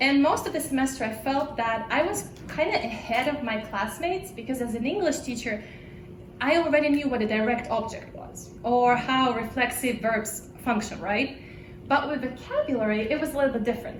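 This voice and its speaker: A woman with a Russian accent and high pitch talks at a fairly quick pace with ordinary pitch variation, amid noticeable background noise and audible room echo. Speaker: language teacher. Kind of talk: conference presentation.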